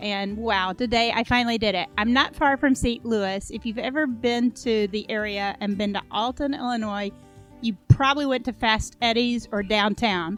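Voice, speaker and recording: With music in the background, the voice moves at a moderate pace with ordinary pitch variation. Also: woman, fairly high pitch for a woman. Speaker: podcast host. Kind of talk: podcast intro to listeners.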